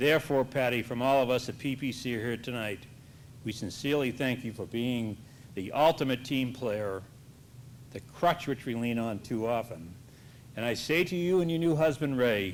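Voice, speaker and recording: An ordinary speaking voice. It moves at a moderate pace with ordinary pitch variation. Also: man. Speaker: company manager presenting an award. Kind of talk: award speech.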